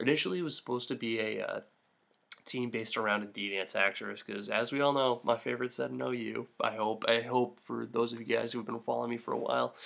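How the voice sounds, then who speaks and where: A man speaks quietly at a very fast pace. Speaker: gaming youtuber. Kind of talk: gameplay commentary. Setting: at home late at night. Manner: quiet, hushed.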